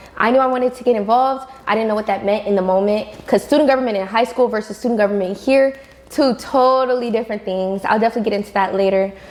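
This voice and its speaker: Over noticeable background noise, a woman speaks at a very fast pace. Her pitch is fairly high and her intonation fairly even. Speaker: university student leader. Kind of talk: podcast interview. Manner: projecting.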